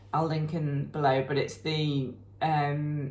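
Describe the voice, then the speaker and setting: A woman's voice with audible room echo. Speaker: knitting podcast co-host. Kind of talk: casual chat.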